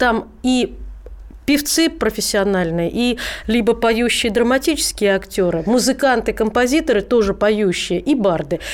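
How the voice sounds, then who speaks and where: With an unremarkable speaking voice, a woman talks fairly slowly at a fairly high pitch with lively intonation. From Rzhev, Russia. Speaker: singer. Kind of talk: casual chat. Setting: studio.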